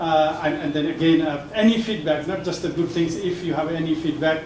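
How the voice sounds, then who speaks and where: A man with a fairly high voice speaks fairly quickly in a monotone, flat delivery, with audible room echo and noticeable background noise. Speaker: professor and book editor. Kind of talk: speech at a book launch. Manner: halting, many fillers and restarts.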